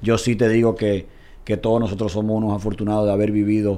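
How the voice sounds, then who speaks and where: Audible room echo surrounds a man whose voice is fairly low in pitch with a dark, mellow tone. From Dominican Republic. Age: 30s. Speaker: football commentator. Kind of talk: casual chat.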